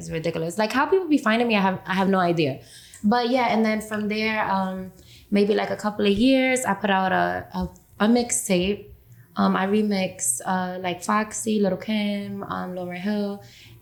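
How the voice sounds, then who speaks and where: A woman speaks with a New York accent. Her medium-pitched voice shows ordinary pitch variation. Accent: New York (Bronx). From New York, the Bronx. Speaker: rapper. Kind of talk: interview. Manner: fast.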